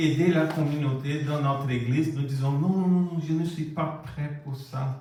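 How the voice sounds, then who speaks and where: A man with a Brazilian accent speaks at a very slow pace, his somewhat breathy, fairly high voice carrying a dark, mellow tone. His intonation is fairly even, and audible room echo surrounds him. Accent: non-native French accent, Brazilian. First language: Portuguese (speaking French). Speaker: preacher. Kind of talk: sermon. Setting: church.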